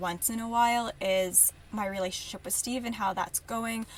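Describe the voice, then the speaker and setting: Her intonation stays fairly even. The woman's voice has a somewhat breathy edge. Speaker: podcast host. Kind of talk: casual monologue. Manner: fast.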